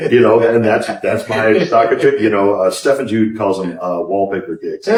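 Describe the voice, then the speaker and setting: There is noticeable background noise as a man speaks with a Midwestern American accent. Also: ordinary pitch variation, moderate pace. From northwest Indiana. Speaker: singer-songwriter. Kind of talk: interview. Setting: pub. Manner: casual, with many fillers.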